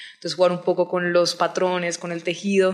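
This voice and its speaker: At a fairly quick pace, a woman speaks with a Colombian Caribbean accent. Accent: Colombian coastal (costeño), noticeable. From Colombian Caribbean coast, Barranquilla. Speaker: novelist. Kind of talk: interview.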